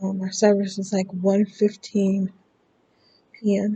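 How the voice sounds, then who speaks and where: A woman with an American accent, somewhat breathy and dark, mellow in tone, at a very slow pace. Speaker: YouTuber. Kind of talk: casual chat.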